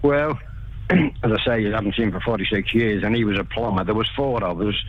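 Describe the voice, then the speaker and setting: Speaking fairly quickly with a Liverpool accent, a man with a fairly low voice shows ordinary pitch variation, over noticeable background noise and audible room echo. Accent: Scouse. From Liverpool, England. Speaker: builder, interview guest. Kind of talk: casual radio interview. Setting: phone call. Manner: halting.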